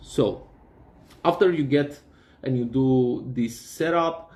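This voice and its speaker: With ordinary pitch variation, this voice carries a non-native accent. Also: man. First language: not English. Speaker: DIY hobbyist. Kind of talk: tutorial. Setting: workshop. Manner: halting, many fillers and repeats.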